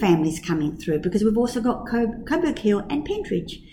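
A woman's somewhat breathy voice with a dark, mellow tone, lively intonation and audible room echo. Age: 50s. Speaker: kindergarten teacher and director. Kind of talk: casual interview.

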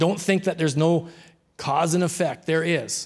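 In a very clean recording with a silent background, a man talks at a high pitch. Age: 60s. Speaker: pastor. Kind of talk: sermon.

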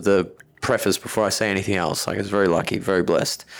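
A man with a fairly low pitch and an Australian accent. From Australia, Melbourne. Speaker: personal trainer and gym owner. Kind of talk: casual interview.

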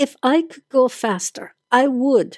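A woman speaks in a put-on character voice, pitched high and at a fairly slow pace. The sound is dry and close, with no echo. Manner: irritated, shouting.

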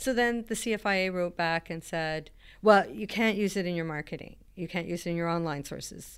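A woman with a Canadian accent and an unremarkable speaking voice talks at a fairly quick pace and fairly low pitch with ordinary pitch variation, on a very clean recording with a silent background. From British Columbia coast, Canada. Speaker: chef and plant-based cheese maker. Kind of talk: interview.

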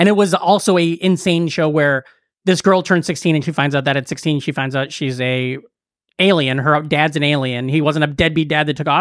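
In a normal speaking voice, the speaker moves at a fairly quick pace with fairly even intonation. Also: man, fairly high pitch for a man. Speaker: comedian. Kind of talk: casual chat.

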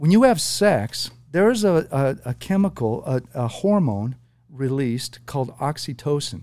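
A man speaks at a fairly slow pace in a dark, mellow tone. His fairly high voice makes very wide pitch swings. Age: 50s. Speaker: prostate cancer survivor. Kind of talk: casual chat. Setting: studio.

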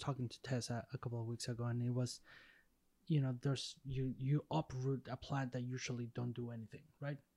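A man's medium-pitched voice with a Spanish accent, a dark, mellow tone, big swings in loudness and a fairly quick pace, in a very clean recording with a silent background and a dry, close sound with no echo. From Mexico. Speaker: podcast co-host. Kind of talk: casual interview.

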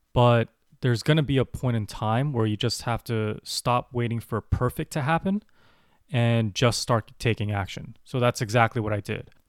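Medium-pitched male speech at a moderate pace with ordinary pitch variation, dry and close with no echo, on a very clean recording with a silent background. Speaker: podcast host and personal finance blogger. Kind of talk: solo podcast monologue.

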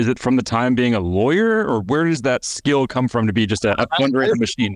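A man talks in an ordinary speaking voice at a medium pitch, with lively intonation and very even loudness. He moves at a fairly quick pace with hardly any pauses, in a dry, close sound with no echo. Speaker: podcast host. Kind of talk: interview.

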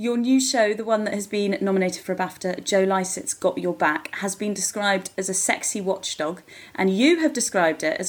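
At a moderate speed, a plain, everyday voice talks with pitch that varies in an ordinary way. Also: woman. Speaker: podcast host. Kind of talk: scripted intro and interview.

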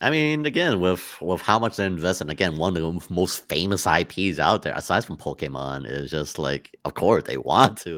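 At a moderate pace, a man speaks with a very deep, low pitch, very wide pitch swings and vocal fry, on a very clean recording with a silent background. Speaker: podcast co-host. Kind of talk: casual chat.

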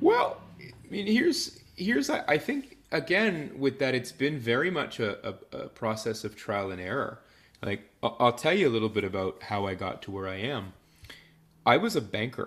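A Canadian accent at a moderate pace, with very wide pitch swings and big swings in loudness. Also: man, medium pitch for a man. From Canada, Ottawa (Nepean). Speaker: behavioral science consultant and entrepreneur. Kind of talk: interview conversation. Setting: remote call from abroad.

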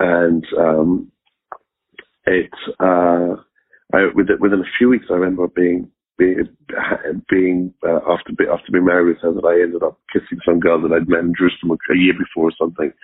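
With an English accent, a man speaks at a very deep, low pitch in a monotone, flat intonation, his loudness very even and his speech broken by long, frequent pauses. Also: moderate pace. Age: 40s. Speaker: recovering addict. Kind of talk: testimony. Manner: halting.

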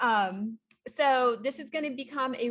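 A woman's normal speaking voice with ordinary pitch variation. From small-town Ontario, Canada. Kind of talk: casual live-stream chat. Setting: live stream at home, sitting next to co-host.

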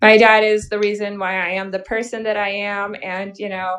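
A woman speaks with an American accent. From Missouri. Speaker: adult content creator. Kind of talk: casual interview. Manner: animated.

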